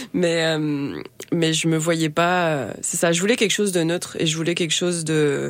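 A woman at a moderate pace, fairly low in pitch, with fairly even intonation. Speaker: singer-songwriter. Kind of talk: interview. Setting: studio. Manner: halting, hesitant.

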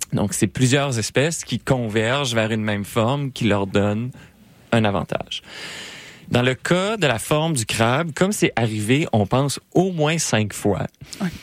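On a very clean recording with a silent background, a man speaks fairly slowly in a plain, everyday voice. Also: medium pitch for a man, lively intonation. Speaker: science popularization radio co-host. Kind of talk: casual science chat on radio.

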